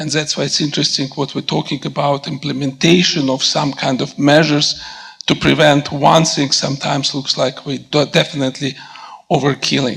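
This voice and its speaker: A man speaks in a Russian accent at a fairly high pitch. His intonation is monotone and flat, and there is noticeable background noise. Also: fairly quick pace. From Russia / former Soviet Union. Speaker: physician. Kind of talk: audience question/comment at panel.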